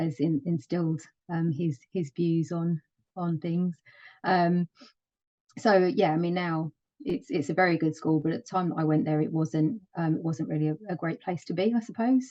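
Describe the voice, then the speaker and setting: Her pitch fairly low, a woman speaks at a moderate pace with ordinary pitch variation. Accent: London. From London, east side. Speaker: project management office lead. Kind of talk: interview. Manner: hesitant, many fillers.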